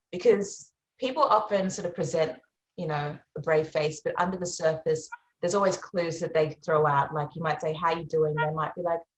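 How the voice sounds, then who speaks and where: This woman has an Australian accent and a fairly low pitch, and she sounds somewhat breathy. She talks at a fairly quick pace with fairly even intonation. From Australia, Melbourne area. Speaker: singer-songwriter. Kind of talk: interview.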